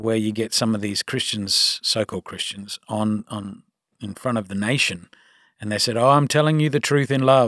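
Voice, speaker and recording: A man in an Australian accent with lively intonation at a moderate pace, on a very clean recording with a silent background and a dry, close sound with no echo. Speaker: pastor. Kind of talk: casual chat.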